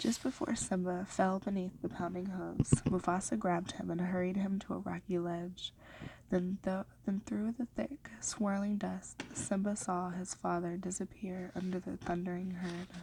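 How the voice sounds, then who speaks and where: Soft-spoken and somewhat breathy, a woman talks at a moderate pace. Her tone is dark and mellow, with fairly even intonation. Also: medium pitch for a woman. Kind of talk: ASMR story reading.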